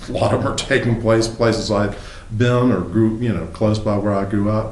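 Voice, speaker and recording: With a Southern US accent, a man speaks at a fairly low pitch and moderate pace in a monotone, flat intonation, amid noticeable background noise and audible room echo. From US South, South Carolina. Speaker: novelist. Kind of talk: interview. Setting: apartment.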